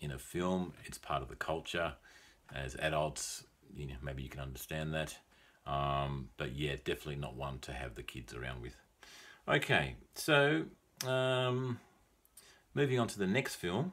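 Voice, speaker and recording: A man with an Australian accent and a very deep, low pitch speaks at a fairly slow pace in a relaxed tone, with lively intonation and long, frequent pauses. His loudness swings widely, and there is noticeable background noise. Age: 40s. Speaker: English teacher. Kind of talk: film review talk for English learners. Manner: relaxed, hesitant with many fillers.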